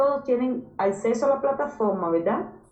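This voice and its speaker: A woman talks at a moderate pace with ordinary pitch variation. Music plays in the background and room echo is audible. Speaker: university lecturer. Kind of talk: lecture.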